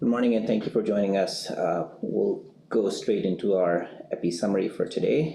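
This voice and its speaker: A man is speaking at a moderate pace. His loudness stays very even. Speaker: public health doctor. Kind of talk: press briefing. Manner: halting, many fillers.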